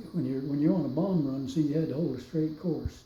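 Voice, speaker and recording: Somewhat breathy with a dark, mellow tone, a man with an American accent speaks at a fairly high pitch with fairly even intonation amid audible room echo. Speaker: war veteran. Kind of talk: testimony. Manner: halting.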